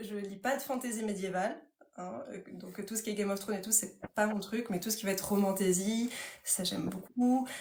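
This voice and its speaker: A woman's medium-pitched voice with ordinary pitch movement and audible echo from the room. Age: 30s. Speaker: author. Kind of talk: casual chat. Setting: livestream. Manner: fast.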